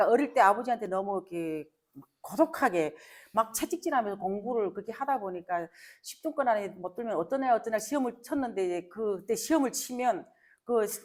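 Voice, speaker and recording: A normal speaking voice with lively intonation, big swings in loudness, and a fairly quick pace. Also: woman, fairly high pitch for a woman. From North Korea. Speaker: North Korean defector sharing life story. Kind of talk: interview conversation before an audience.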